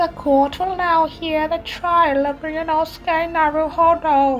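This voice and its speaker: A put-on character voice speaks at a high pitch in a flat, monotone delivery. The pace is fairly slow, with clear music in the background. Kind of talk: formal, authoritative. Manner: solemn.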